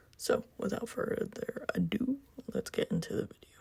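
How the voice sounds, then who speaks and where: The delivery comes at a moderate pace. Noticeable background noise runs underneath. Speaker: graphic design tutorial maker. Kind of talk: software tutorial voice-over. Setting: recorded at work.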